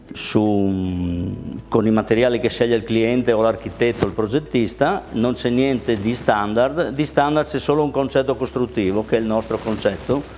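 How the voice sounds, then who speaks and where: This man has an unremarkable speaking voice at a medium pitch. His pace is moderate and his pitch varies in an ordinary way. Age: 60s. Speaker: kitchen manufacturer, business owner. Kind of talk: business testimony.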